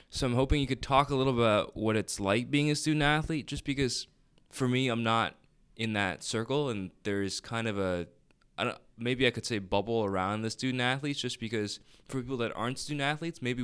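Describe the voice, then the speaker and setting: A man with an unremarkable speaking voice talks at medium pitch and a fairly quick pace. His pitch variation is ordinary, and the recording is very clean with a silent background. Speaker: podcast host. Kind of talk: scripted narration; interview.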